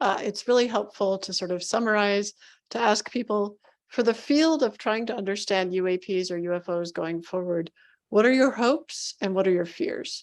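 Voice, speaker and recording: Here is a woman with a normal speaking voice, medium in pitch, with ordinary pitch variation. She talks at a moderate pace over a quiet background. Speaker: interviewer. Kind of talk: interview.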